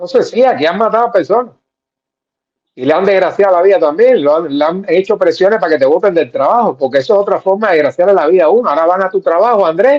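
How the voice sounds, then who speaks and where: Very fast delivery with lively intonation and very even loudness. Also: man, high pitch for a man. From Cuba. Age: 70s. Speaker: political commentator. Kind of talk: casual chat.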